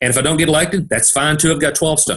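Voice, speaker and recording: A man with a Tennessee accent speaks in a somewhat breathy voice. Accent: Southern US (Tennessee). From Middle Tennessee, US South. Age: 50s. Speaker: pharmacist and state senate candidate. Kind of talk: interview.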